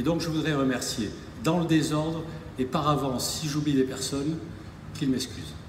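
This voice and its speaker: Long, frequent pauses break up a man's fairly high-pitched, fairly even speech, heard with audible room echo and noticeable background noise. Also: moderate pace. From southern France, Narbonne. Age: 60s. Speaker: rugby club president. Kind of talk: public speech. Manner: hesitant, repetitive.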